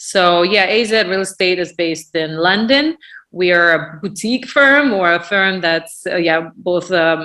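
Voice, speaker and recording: A woman talks at a fairly slow pace in a bright, sharp tone. Her pitch is fairly low, with ordinary variation. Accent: Russian. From Russia, Moscow suburb. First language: Russian. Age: 40s. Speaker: real estate business owner. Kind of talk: podcast interview. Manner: halting, many fillers.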